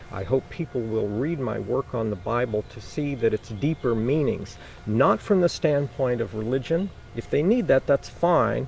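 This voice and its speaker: There is noticeable background noise behind this man's moderately paced speech. His pitch is medium, and his intonation is lively. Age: 60s. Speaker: mayoral candidate. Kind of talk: interview.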